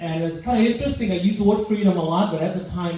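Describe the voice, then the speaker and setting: With a Vietnamese accent, a man talks at a fairly quick pace with ordinary pitch variation, amid noticeable background noise and audible room echo. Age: 50s. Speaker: public speaker. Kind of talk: speech.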